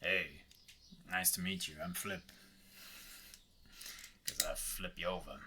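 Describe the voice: A man uses a put-on character voice that sounds resonant, moving at a moderate pace with long, frequent pauses. Clear background noise runs underneath.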